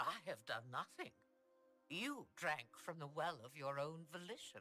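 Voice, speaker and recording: A put-on character voice in a middle pitch moves at a moderate pace. Faint music plays in the background. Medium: video game. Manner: cryptic, imperious.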